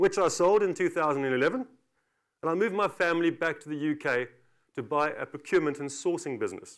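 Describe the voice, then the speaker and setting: This man speaks with a South African accent at a very fast pace, his pitch high. The recording is very clean, with a silent background. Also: ordinary pitch variation. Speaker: company director. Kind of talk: conference talk.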